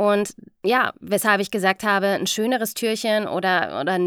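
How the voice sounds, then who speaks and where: A woman speaks at a medium pitch in a very clean recording with a silent background and a dry, close sound with no echo. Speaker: voice-over artist and podcast host. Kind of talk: casual monologue storytelling.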